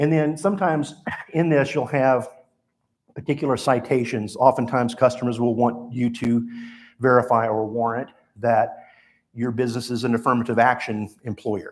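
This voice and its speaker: The pitch sits in the middle range for a male speaker. It varies in an ordinary way. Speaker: lawyer giving a talk. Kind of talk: lecture. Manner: fast.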